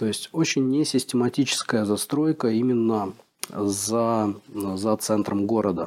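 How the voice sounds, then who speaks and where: A man's voice, very slow in pace and very even in loudness. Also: medium pitch for a man, ordinary pitch variation. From Russia. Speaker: relocated expat. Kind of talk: interview.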